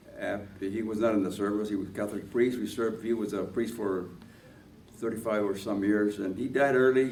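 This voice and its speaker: There is audible room echo as a man with a fairly low pitch speaks with ordinary pitch variation. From Los Angeles, Boyle Heights (Mexican-American family). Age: 90s. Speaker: war veteran. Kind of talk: oral history interview. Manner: halting, many fillers.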